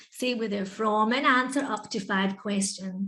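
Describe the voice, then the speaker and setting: A woman's voice has a fairly high pitch. Her tone is bright and sharp. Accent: Scottish. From Scotland. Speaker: English teacher and webinar presenter. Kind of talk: educational webinar presentation. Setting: online video webinar. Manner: conversational, interactive.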